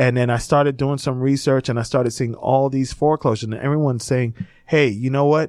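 With an American accent, a man talks very fast at a medium pitch in a monotone, flat delivery. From South Florida (Miami, Fort Lauderdale). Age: 40s. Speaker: entrepreneur and coach. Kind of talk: interview. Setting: studio.

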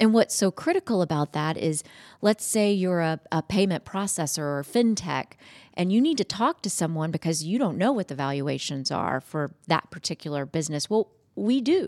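A woman with an American accent speaks in a normal speaking voice at a fairly low pitch, her intonation lively and her pace moderate, on a very clean recording with a silent background and a dry, close sound with no echo. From Georgia, US (Madison, Morgan County). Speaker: commercial banking executive. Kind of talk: interview. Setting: studio.

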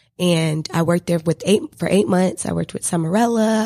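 In a normal speaking voice, a woman talks at a fairly quick pace with fairly low pitch. The recording is very clean, with a silent background. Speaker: student and PR firm founder. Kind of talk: interview. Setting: radio studio.

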